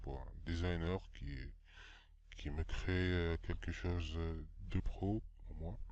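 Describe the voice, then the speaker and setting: A man's very slow delivery carries ordinary pitch variation. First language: not French (speaking French). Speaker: game development tutorial maker. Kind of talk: tutorial. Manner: halting, many hesitations.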